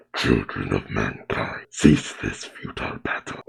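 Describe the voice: Putting on a character voice, a man speaks at a fairly slow pace in a raspy, gravelly, strained way.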